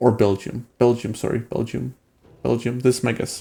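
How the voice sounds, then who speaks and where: With vocal fry in his dark, mellow tone, a man speaks at a medium pitch. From Denmark. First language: Danish. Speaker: gaming streamer. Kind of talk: live stream gameplay commentary and chat with viewers. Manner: casual, with many fillers and hesitations.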